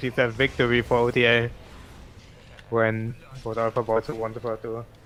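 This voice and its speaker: This is a man speaking at a moderate pace. His pitch sits in the medium range. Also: long, frequent pauses. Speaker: game commentator. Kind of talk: casual chat. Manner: flat.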